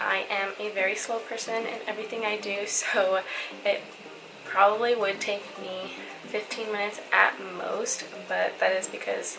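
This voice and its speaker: With music in the background and audible room echo, a woman speaks at a medium pitch in a flat monotone. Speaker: beauty vlogger. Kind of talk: makeup tutorial. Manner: slow.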